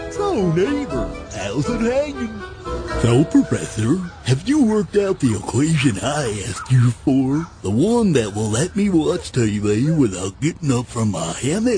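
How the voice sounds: Over clear background noise, a man puts on a cartoonish character voice at a medium pitch. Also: moderate pace.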